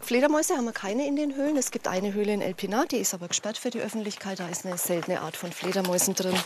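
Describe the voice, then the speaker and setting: Over noticeable background noise, a woman with a medium pitch talks very fast with lively intonation. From Franconia, Nuremberg. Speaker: baker and cave tour guide. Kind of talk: casual chat.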